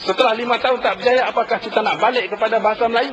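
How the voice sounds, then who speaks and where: Against noticeable background noise, a man with a high pitch rattles along at a very fast pace with ordinary pitch variation. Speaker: member of parliament. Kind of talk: parliamentary debate. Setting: parliament chamber.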